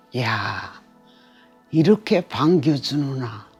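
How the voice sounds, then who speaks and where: Music plays behind the voice. A woman talks with lively intonation. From Pyongyang, North Korea. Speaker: North Korean defector. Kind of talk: interview answer.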